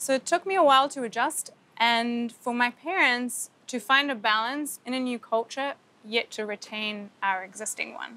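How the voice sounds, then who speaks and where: The woman's voice is high-pitched with a bright, sharp tone and ordinary pitch variation. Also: moderate pace. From Egypt (Cairo), then New Zealand from age ten. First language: Arabic and French. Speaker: opera singer. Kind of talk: documentary interview.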